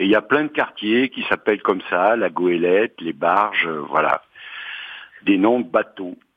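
At a fairly slow pace, a man with an unremarkable speaking voice talks at a fairly low pitch with ordinary pitch variation. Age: 60s. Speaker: retiree, housing cooperative resident. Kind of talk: interview.

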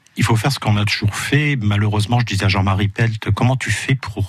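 Noticeable background noise sits under this recording. A man speaks at a fairly quick pace and a fairly low pitch. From Moselle, France. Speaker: ecologist and author. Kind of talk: radio interview. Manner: hesitant, many fillers.

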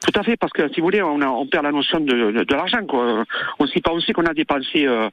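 Male speech leaping widely up and down in pitch, with clear noise in the background. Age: 60s. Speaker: caller. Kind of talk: radio call-in testimony. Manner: halting.

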